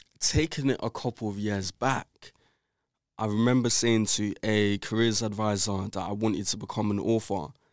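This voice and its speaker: A man's fairly low voice with a London accent, at a moderate pace, in dry, close sound with no echo. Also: very clean recording, silent background. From South London, England. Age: 20s. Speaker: entrepreneur and author. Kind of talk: interview. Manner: casual, filler-heavy.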